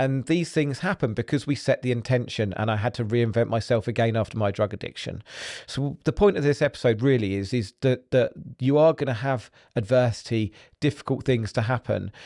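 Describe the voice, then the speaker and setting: With an English accent, a man talks at a fairly quick pace at medium pitch. His tone is dark and mellow, and the sound is dry and close with no echo. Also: ordinary pitch variation. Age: 40s. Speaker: podcast host. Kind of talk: motivational monologue.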